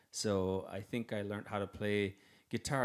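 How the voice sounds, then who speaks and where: On a very clean recording with a silent background, a man with a Canadian Arctic accent speaks at a moderate pace in a fairly low, monotone, flat voice. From Nunavik, northern Quebec. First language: Inuktitut. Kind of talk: Q&A at music workshop for students. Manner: halting, many fillers and repeats.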